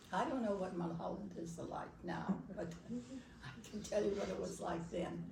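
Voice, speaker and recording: A woman with an American accent speaks at a moderate pace. Noticeable background noise is present. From Los Angeles, California. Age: 80s+. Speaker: Baha'i pioneer. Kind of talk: storytelling talk to an audience.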